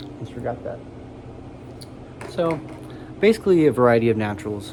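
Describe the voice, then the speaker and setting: A man at medium pitch, talking at a fairly quick pace over noticeable background noise. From United States. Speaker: tobacco snuff reviewer. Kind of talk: casual product review vlog. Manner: soft-spoken, sometimes mumbling; halting, hesitant.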